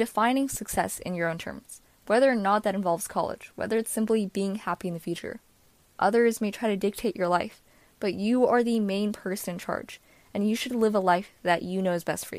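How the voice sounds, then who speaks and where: A woman talks fairly quickly in a plain, everyday voice, medium in pitch with fairly even intonation. The recording is very clean with a silent background. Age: young. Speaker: college student. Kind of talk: prepared testimony.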